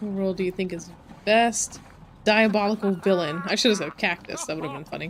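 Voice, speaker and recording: A woman talks fairly quickly in a plain, everyday voice, medium in pitch with ordinary pitch variation. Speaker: streamer. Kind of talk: gameplay livestream chat.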